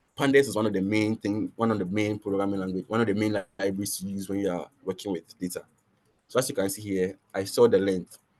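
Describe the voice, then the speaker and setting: The man's voice sits fairly low and moves at a fairly quick pace. The sound is dry and close with no echo, against a quiet background. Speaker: machine learning instructor. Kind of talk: tutorial. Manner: fast; halting, many restarts.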